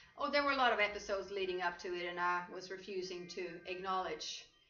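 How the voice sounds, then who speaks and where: Speaking at a moderate pace with a Swedish accent, a woman uses a medium pitch amid audible room echo. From Sweden. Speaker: life coach. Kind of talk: interview. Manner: halting.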